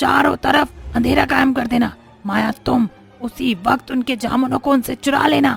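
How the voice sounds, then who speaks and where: A cartoonish character voice at a fairly high pitch and moderate pace, with clear music in the background. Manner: stern, bossy.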